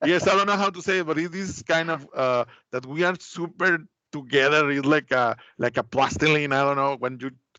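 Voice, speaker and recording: Talking at a fairly quick pace with a Spanish accent, a man uses a fairly high pitch, a bright, sharp tone and ordinary pitch variation. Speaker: Mexican customs and export expert. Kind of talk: webinar presentation. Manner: halting.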